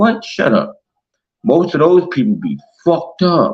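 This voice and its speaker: The voice is loud and moves at a fairly slow pace. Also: man. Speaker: internet radio host. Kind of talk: monologue rant. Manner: aggressive.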